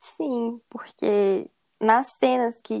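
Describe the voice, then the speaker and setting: A woman's high-pitched voice with ordinary pitch variation, dry and close with no echo. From Brazil, Belo Horizonte, Minas Gerais. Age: 20s. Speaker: podcast host. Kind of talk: casual chat.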